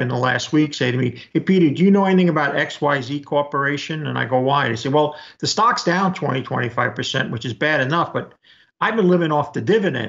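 Ordinary pitch variation marks a man talking at a very fast pace. The background is quiet. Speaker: remote interview guest. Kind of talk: interview answer. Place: home room. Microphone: webcam.

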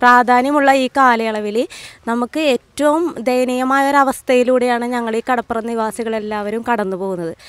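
A woman speaks with a high pitch and fairly even intonation. The sound is dry with no echo. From Kerala coast. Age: 30s. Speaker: resident, trained teacher; trained teacher. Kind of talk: interview. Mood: earnest, aggrieved plea. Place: street. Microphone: handheld.

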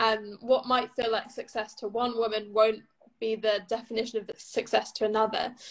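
A woman with a fairly high pitch talks in a monotone, flat intonation. The background is quiet. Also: moderate pace. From England. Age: 20s. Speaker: author and magazine editor. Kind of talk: interview. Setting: video call. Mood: warm, thoughtful. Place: home room. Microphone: video call.

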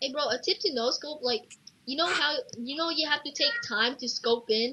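The voice is loud and animated, with lively intonation. Noticeable background noise sits behind it. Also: woman, high pitch for a woman, moderate pace. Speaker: gamer. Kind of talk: gameplay commentary.

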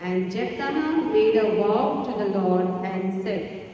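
A woman speaks slowly in a dark, mellow tone with ordinary pitch variation. Strong room echo surrounds her voice. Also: medium pitch for a woman.

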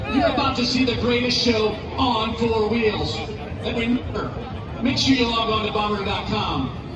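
A man at a fairly slow pace, with audible room echo and loud background noise. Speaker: pre-race announcer. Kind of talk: public address speech. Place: stadium.

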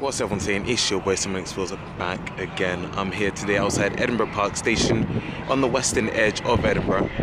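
A man talking at a fairly quick pace, dry with no echo, over loud background noise. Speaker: travel vlogger. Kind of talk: casual vlog chat. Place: station. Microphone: phone near.

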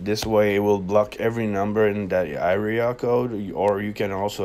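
The man has a low pitch. His tone is slightly mellow.

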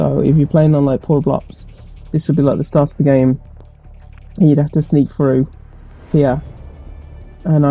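Music plays in the background as a man speaks in a monotone, flat intonation with long, frequent pauses. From England, West Midlands. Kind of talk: casual gameplay commentary to camera.

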